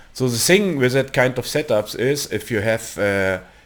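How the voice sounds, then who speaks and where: With a German accent, a man talks at a fairly slow pace. His pitch is medium and his intonation lively. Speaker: 3D software tutorial creator. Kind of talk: tutorial. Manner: halting, many fillers.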